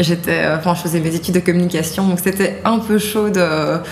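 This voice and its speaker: Amid noticeable background noise and audible room echo, a woman with a fairly low pitch talks at a moderate pace. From Belgium (from age 8), Haitian-Dutch background. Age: 30s. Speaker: activist and digital communications worker, mother. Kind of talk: interview testimony. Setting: at her home.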